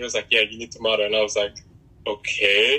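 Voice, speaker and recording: A man speaks at a very fast pace while noticeable background noise carries on. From Republic of Congo, then New York from age 11. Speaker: model. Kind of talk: casual chat.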